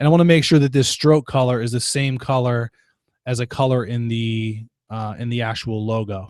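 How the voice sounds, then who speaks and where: In a dry, close recording with no echo, a man with a normal speaking voice talks at medium pitch and a moderate pace, his intonation fairly even. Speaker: webinar instructor. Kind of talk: tutorial. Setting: online webinar broadcast.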